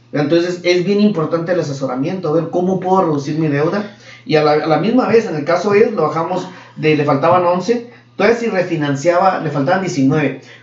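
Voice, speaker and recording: Amid noticeable background noise and audible room echo, the speaker moves at a fairly quick pace with ordinary pitch variation. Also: man, high pitch for a man. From Mexico. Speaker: mortgage loan officer. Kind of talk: casual interview.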